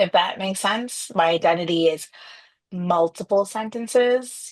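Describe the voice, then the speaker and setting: Speaking with a Chicago accent, a woman talks at a fairly slow pace. Her pitch is medium, with ordinary variation. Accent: American, Chicago. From Trinidad, raised in Chicago. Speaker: former corporate executive, business owner. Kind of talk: podcast interview.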